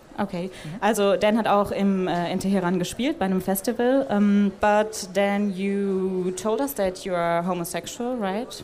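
With a German accent, a woman speaks at a moderate pace with hardly any pauses and ordinary pitch variation, amid noticeable background noise and audible room echo. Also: medium pitch for a woman. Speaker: podcast interviewer. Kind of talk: interview with German summaries. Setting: stage at a festival.

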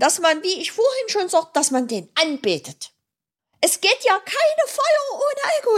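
Here a woman speaks at an extremely high pitch. Her pitch swings very wide. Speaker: author and awareness advocate. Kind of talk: interview. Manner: halting, with many repeated words.

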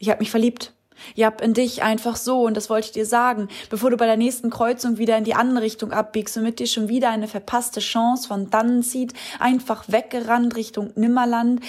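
Her fairly high voice stays monotone and flat as this woman talks at a fairly quick pace. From Hamburg. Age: 20s. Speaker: poetry slammer. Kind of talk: poetry slam performance.

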